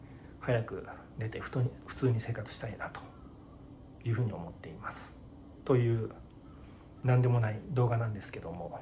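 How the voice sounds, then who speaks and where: A man talks at a moderate pace with ordinary pitch variation and long, frequent pauses. There is light background noise. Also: big swings in loudness. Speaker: vlogger in hospital. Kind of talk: casual vlog chat. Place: home room. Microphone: phone near.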